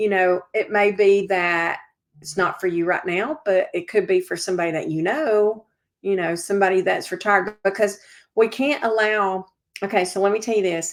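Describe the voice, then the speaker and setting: On a very clean recording with a silent background, a woman in a Southern US accent speaks at a medium pitch and moderate pace with ordinary pitch variation. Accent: Southern American. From Georgia, US South. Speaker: civic organizer and real estate broker. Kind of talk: interview.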